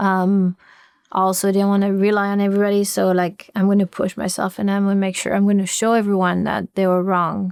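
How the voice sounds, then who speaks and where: In a very clean recording with a silent background, a woman with a French accent talks at a fairly quick pace, her medium pitch delivered in a monotone, flat intonation at very even loudness. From France. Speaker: gymnastics coach. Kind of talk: podcast interview.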